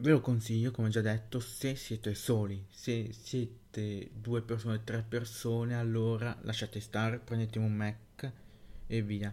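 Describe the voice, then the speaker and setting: Monotone and flat, a man speaks at a fairly slow pace. His voice has a medium pitch and a dark, mellow tone. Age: young. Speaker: tech podcaster. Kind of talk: solo podcast monologue. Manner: halting.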